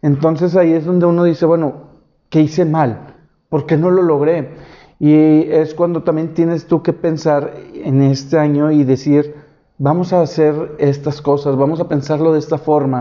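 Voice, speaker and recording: A man speaks at a fairly slow pace with very even loudness. His intonation is monotone and flat. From Monterrey, northern Mexico. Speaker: YouTuber. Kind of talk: solo video podcast monologue. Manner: halting, many fillers.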